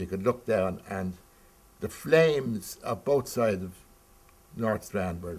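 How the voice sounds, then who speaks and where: This speaker has a Dublin accent and lively intonation. The pace is very slow. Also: man. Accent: Dublin Irish. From Ireland, Dublin. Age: 70s. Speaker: eyewitness interviewee. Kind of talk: oral history interview. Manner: halting.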